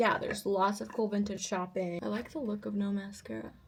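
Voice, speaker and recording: A woman speaking at a moderate pace with noticeable background noise. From Russian-speaking family in the US. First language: Russian. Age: 20s. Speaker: vlogger and singer. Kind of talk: casual vlog talk. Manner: animated.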